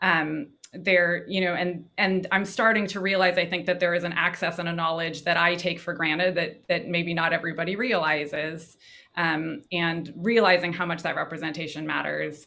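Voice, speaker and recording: In a normal speaking voice, a woman talks at a moderate pace with fairly low pitch and fairly even intonation. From Davis, California. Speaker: educator. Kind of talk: panel discussion.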